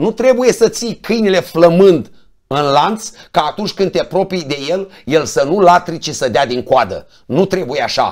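The speaker goes at a fairly slow pace with lively intonation. The background is quiet. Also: man, high pitch for a man. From Romania, Roman (Neamț county, Moldavia); Romania. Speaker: politician, member of parliament; politician. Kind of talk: political talk show interview. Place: studio.

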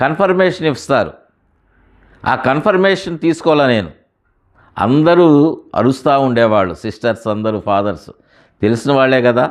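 A man's medium-pitched voice with very wide pitch swings against a quiet background. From Guntur, Andhra Pradesh, India. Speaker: preacher giving testimony. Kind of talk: testimony.

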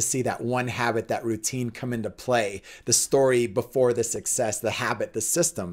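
A man talks at a moderate pace with a medium pitch. He hardly pauses at all, and the background is quiet. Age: 40s. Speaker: pastor and fitness instructor; pastor, fitness instructor. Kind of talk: faith and fitness talk.

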